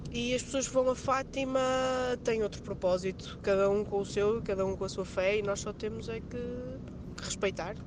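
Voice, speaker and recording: Amid noticeable background noise, a woman talks at medium pitch with ordinary pitch variation. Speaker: radio listener caller. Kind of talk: casual chat. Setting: phone call. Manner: fast.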